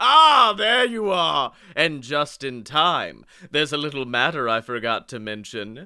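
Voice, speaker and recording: A man with a fairly high pitch talks at a fairly slow pace, his pitch swinging very widely. His tone is animated and theatrical, bright and sharp. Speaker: podcast host. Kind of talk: guided tour narration, doing a playful ride-spiel parody, then riffing on the lyrics. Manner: animated, mock-theatrical, bantering and cracking up.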